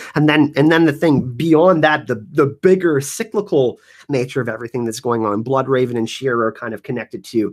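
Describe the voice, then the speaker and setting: A man with a medium-pitched voice and ordinary pitch variation speaks at a fairly quick pace with hardly any pauses, recorded very cleanly against a silent background. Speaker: YouTube show host. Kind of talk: live stream Q&A chat. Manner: fast; animated.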